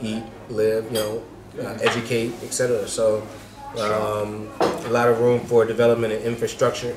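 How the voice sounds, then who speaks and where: Clear music plays behind this man. He talks with an American accent at a fairly quick pace. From US South. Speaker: real estate developer; interview guest. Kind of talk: interview. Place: cafe. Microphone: phone near.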